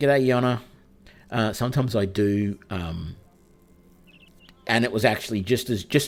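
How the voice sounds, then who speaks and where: A man with a fairly low pitch and ordinary pitch variation. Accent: Australian. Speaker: game streamer. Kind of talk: casual chat. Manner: loud when excited.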